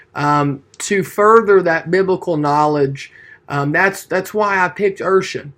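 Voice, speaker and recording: With an East Tennessee accent, a man speaks at a fairly slow pace in a high pitch with ordinary pitch variation. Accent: Southern US (East Tennessee). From Tennessee (Maryville). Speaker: student preacher. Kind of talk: class speech. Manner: hesitant, many fillers.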